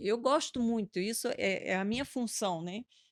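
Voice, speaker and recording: A woman with a fairly high pitch talks at a moderate pace with ordinary pitch variation, the sound dry and close with no echo. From Rio de Janeiro, Brazil, moved around. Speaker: restaurant owner. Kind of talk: podcast interview. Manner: animated.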